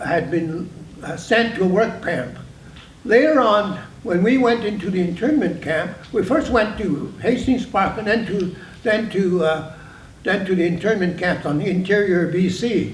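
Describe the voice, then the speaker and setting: A man's high-pitched voice at a fairly slow pace with ordinary pitch variation, amid noticeable background noise and audible room echo. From British Columbia, Canada (Prince Rupert). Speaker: internment survivor and community leader. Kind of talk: panel testimony. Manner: halting, many restarts.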